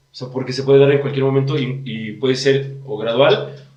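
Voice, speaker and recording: Fairly high in pitch, a man talks at a fairly quick pace with monotone, flat intonation. Room echo is audible. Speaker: podcast host explaining disorders. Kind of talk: casual chat.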